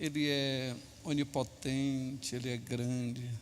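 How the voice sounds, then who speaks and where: A man speaks with audible room echo. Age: 60s. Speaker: pastor. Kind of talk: sermon.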